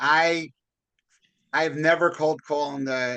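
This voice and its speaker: A loud voice with a bright, sharp tone. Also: man. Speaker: podcast host, real estate broker. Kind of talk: casual interview chat.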